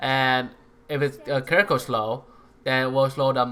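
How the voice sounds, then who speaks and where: With a non-native accent, a man speaks at a moderate pace in a medium pitch with a bright, sharp tone. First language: not English. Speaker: gaming YouTuber. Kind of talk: tutorial. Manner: hesitant, many fillers.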